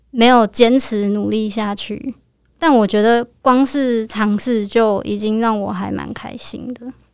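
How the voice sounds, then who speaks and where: Very slow and fairly high-pitched, a woman speaks with fairly even intonation and big swings in loudness. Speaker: university student. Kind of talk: casual interview chat.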